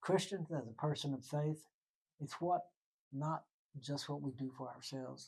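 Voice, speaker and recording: This man has a Texan accent and a fairly high, somewhat breathy voice. He talks at a fairly slow pace with fairly even intonation. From Texas, Waco. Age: 80s+. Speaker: retired journalist. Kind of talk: interview. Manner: halting.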